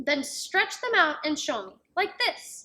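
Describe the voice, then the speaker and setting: A woman puts on a character voice, speaking fairly slowly at an extremely high pitch. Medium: read story. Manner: teasing, boastful.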